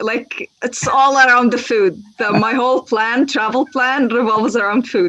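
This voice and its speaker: With an Arabic accent, the speaker moves at a moderate pace with ordinary pitch variation and hardly any pauses. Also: woman, high pitch for a woman. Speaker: language teacher. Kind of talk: casual interview.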